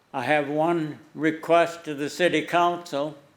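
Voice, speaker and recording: Audible room echo surrounds a man whose fairly high pitch carries a monotone, flat intonation. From US Upper Midwest, western North Dakota. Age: 80s+. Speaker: war veteran and donor. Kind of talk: prepared speech. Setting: city council meeting.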